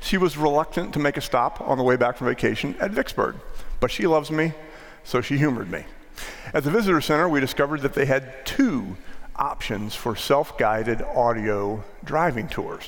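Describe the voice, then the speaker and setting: In an American accent, a man with an unremarkable speaking voice talks at a fairly high pitch and a moderate pace with lively intonation. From US, northwest Maryland. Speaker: pastor. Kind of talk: sermon. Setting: church.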